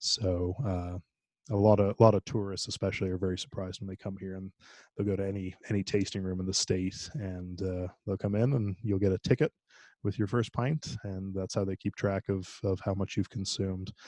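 A man talks at a fairly quick pace with a fairly low pitch, a dark, mellow tone and fairly even intonation. The sound is dry and close with no echo, over a quiet background. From Ireland. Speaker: brewmaster. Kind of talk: interview. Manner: halting, many fillers.

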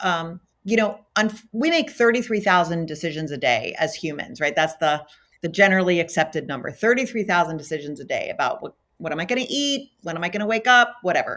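Very wide pitch swings in an American accent, on a very clean recording with a silent background. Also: woman, fairly low pitch for a woman. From US, Baltimore, Maryland. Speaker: physician and healthcare executive. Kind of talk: interview. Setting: corporate office.

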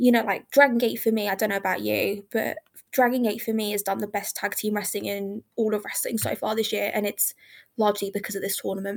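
A woman speaks at a very fast pace with vocal fry and a medium pitch, on a very clean recording with a silent background. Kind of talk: casual chat. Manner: fast talker; animated, energetic.

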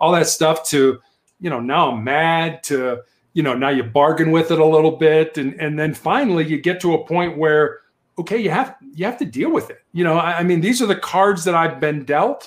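Fairly high in pitch, a man speaks at a moderate pace with an American accent and ordinary pitch variation. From US Midwest, Chicago. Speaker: cancer survivor and author, former police officer. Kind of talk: interview chat. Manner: halting, repeats words.

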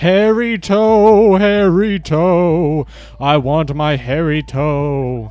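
At a very slow pace, a man performs a fairly high-pitched, put-on character voice. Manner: angry, eerie.

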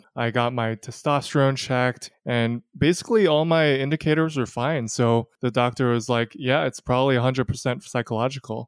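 A plain, everyday voice at a fairly quick pace with hardly any pauses, fairly even intonation and very even loudness, in a dry, close sound with no echo. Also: man, medium pitch for a man. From New York. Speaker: guest sharing personal experience with erectile dysfunction. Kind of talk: candid interview.

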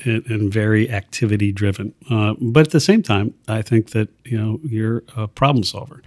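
A man with an American accent, moderate pace and ordinary pitch variation, in a dry, close sound with no echo. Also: medium pitch for a man. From US Midwest, Columbus, Ohio. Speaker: retired business executive. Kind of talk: casual chat. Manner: halting, many fillers.

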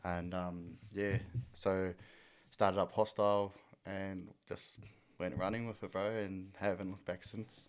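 A man speaks at a fairly slow pace with monotone, flat intonation and long, frequent pauses. The recording is very clean, with a silent background. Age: 20s. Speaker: clothing label founder. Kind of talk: casual chat.

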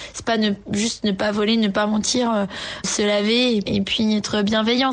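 Over noticeable background noise, a woman speaks at a moderate pace and fairly high pitch with fairly even intonation. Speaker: yoga teacher. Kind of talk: voice note testimony.

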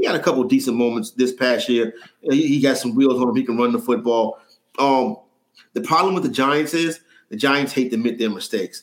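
With a New York accent, a man speaks at a fairly quick pace in a medium pitch with ordinary pitch variation. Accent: New York City. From New York City (Harlem). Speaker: sports betting analyst. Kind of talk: casual chat.

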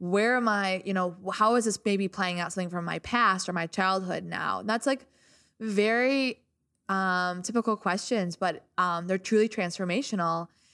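Speaking at a moderate pace with ordinary pitch variation, a woman with a medium pitch and a bright, sharp tone is heard in a very clean recording with a silent background and a dry, close sound with no echo. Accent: American. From US Midwest, small-town Illinois. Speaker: DJ. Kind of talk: casual chat.

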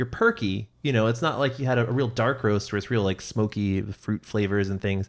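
A man with an American accent and a plain, everyday voice, medium pitch with ordinary pitch variation, fairly quick with hardly any pauses, in a very clean recording with a silent background. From US Pacific Northwest (Seattle). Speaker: podcast host. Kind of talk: casual chat.

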